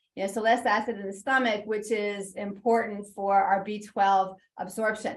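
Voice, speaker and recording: A woman's medium-pitched voice, flat and monotone, at a moderate pace. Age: 60s. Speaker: registered dietitian nutritionist. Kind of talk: webinar Q&A. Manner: halting, many fillers.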